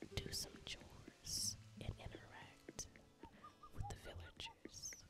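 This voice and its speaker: A whisper moves at a very slow pace with noticeable noise behind it. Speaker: ASMR gaming creator. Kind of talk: ASMR gameplay commentary. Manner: whispered, soft-spoken.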